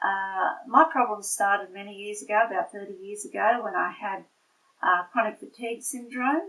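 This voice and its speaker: In an Australian accent, a woman speaks at a moderate pace in a medium pitch with ordinary variation, her tone bright and sharp and her loudness swinging widely. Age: 60s. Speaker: patient giving testimonial, nurse. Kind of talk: testimony. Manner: halting, many fillers.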